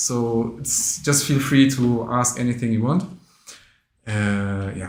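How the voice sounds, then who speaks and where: In a non-native accent, a man of medium pitch talks at a fairly slow pace with ordinary pitch variation and audible room echo. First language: not English. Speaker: interviewer at Islamic education association. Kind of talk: interview. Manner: halting, many fillers.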